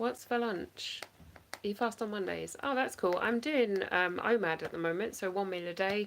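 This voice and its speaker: A woman with an English accent over light background noise. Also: ordinary pitch variation, moderate pace. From England. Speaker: online reseller; live stream reseller. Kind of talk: casual livestream chat. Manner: casual, hesitant with fillers. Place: home room. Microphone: phone near.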